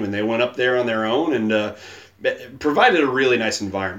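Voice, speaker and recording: Noticeable background noise sits under a man talking very fast with ordinary pitch variation. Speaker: podcast host. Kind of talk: casual chat. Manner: joking, playful.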